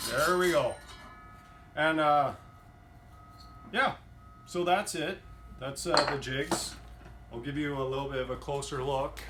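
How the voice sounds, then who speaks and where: With music in the background and audible room echo, a man with a fairly high pitch talks in a fairly even intonation, leaving long, frequent pauses. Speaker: cabinetry student. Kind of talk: tutorial demo. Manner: loud; hesitant, many fillers.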